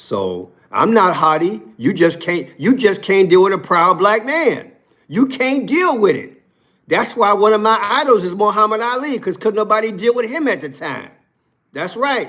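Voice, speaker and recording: A man's high-pitched voice with a bright, sharp tone, lively intonation, and a moderate pace. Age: 60s. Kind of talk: live stream commentary. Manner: animated.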